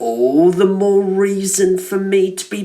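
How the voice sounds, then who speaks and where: A man speaks in a put-on character voice pitched high. His pace is fairly slow. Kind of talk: fan villain voiceover. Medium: fan dub. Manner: sardonic, smooth and manipulative.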